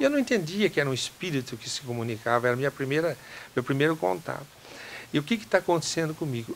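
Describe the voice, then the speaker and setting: A man with a fairly high pitch rattles along at a very fast pace with lively intonation. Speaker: doctor. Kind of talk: interview answer, personal testimony.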